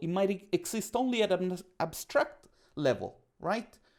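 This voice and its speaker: Someone with an Italian accent speaks at a moderate pace on a very clean recording with a silent background. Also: man. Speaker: podcast guest, coach. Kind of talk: casual interview chat. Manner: talkative.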